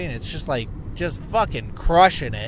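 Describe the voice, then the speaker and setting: A man with a high pitch keeps a moderate pace while noticeable background noise plays behind him. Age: 30s. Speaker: podcast host. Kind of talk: casual monologue. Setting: in a car, driving. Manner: rambling, halting with fillers.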